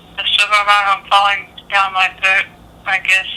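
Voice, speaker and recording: Over noticeable background noise, a woman speaks at a moderate pace and a medium pitch. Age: 50s. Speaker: military veteran with neurological illness. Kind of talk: consultation interview. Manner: halting.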